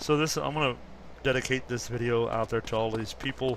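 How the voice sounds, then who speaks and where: Noticeable background noise sits behind this recording. A man talks at a moderate pace. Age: 50s. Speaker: gaming commentator. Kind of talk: gameplay commentary. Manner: casual, hesitant with fillers.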